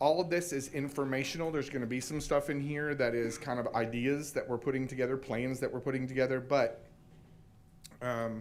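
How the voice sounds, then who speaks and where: Here a man speaks at a medium pitch. His intonation is fairly even and his pace fairly quick. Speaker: school technology director. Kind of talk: presentation at board meeting. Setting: school board meeting. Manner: fast.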